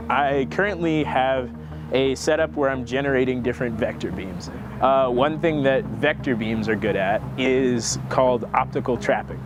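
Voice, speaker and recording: With an American accent, a man speaks at a moderate pace and a medium pitch with very wide pitch swings, amid audible room echo and noticeable background noise. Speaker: engineering student, research intern. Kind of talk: interview testimony. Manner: casual, conversational.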